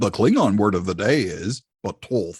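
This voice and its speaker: Using a put-on character voice, a man talks at a moderate pace with ordinary pitch variation. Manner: dramatic announcing.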